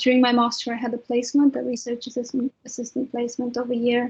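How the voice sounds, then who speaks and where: The intonation is monotone and flat. A Romanian accent runs through the speech. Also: woman. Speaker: trainee clinical psychologist. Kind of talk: webinar panel talk.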